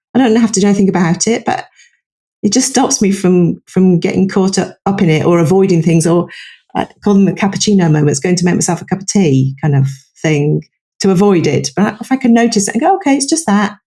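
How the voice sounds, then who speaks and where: A woman with a dark, mellow, somewhat breathy tone speaks at a medium pitch. Her intonation is lively and her pace very fast. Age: 60s. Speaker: psychologist and author. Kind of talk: podcast interview.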